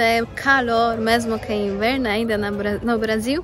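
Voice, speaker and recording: With audible room echo and music in the background, a woman speaks in a monotone, flat intonation. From Poland. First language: Polish (speaking Portuguese). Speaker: vlogger. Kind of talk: casual vlog. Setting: outdoors in a park. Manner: halting.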